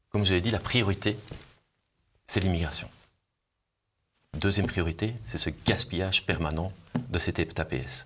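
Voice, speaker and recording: A man with a very deep, low pitch speaks at a moderate pace, with ordinary pitch variation and vocal fry. Long, frequent pauses break up his speech in a very clean recording with a silent background. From Belgium, Brussels. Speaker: politician, party leader. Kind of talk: political interview. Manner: hesitant, repeats words.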